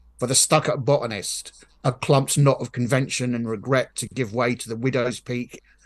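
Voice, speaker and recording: Against a quiet background, a man with a medium-pitched voice speaks fairly slowly in a dramatic tone, his intonation fairly even. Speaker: poet and novelist. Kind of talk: casual chat; poem performed aloud. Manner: measured, dramatic, rhythmic poetry delivery.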